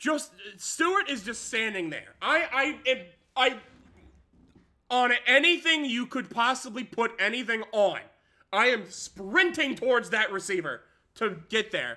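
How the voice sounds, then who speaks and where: Raised and projected, a man's extremely high, bright, sharp voice moves at a fairly slow pace with lively intonation and long, frequent pauses, on a very clean recording with a silent background. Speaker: gaming streamer. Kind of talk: gameplay commentary. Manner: animated.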